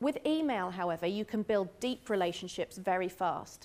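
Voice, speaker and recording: A woman speaks with a British accent. Her medium-pitched voice moves at a fairly quick pace. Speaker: marketing speaker at a business workshop. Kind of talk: talk to a live audience. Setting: room with live audience. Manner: fast.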